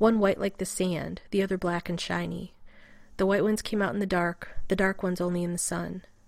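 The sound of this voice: Fairly even intonation in an unforced reading voice.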